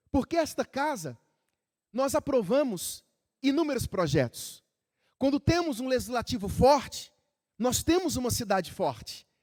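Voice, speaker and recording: A man with an extremely high pitch speaks at a fairly slow pace, using lively intonation. His long, frequent pauses sit in a dry, close sound with no echo. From Rio de Janeiro, Brazil. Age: 40s. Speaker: city council president. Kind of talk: formal ceremonial speech. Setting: council chamber with audience.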